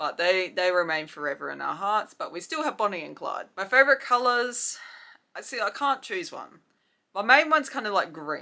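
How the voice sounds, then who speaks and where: A woman with an Australian accent uses vocal fry and very wide pitch swings in a bright, sharp tone, on a very clean recording with a silent background. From South Australia. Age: 20s. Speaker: YouTuber. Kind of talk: casual chat. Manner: casual, filler-heavy.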